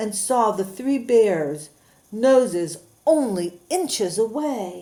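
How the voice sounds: The natural reading voice has lively intonation.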